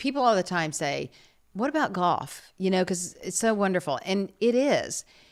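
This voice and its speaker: With an American accent and lively intonation, an ordinary speaking voice moves at a moderate pace on a very clean recording with a silent background. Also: woman. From New York. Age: 50s. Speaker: retired TV news anchor. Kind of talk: casual chat.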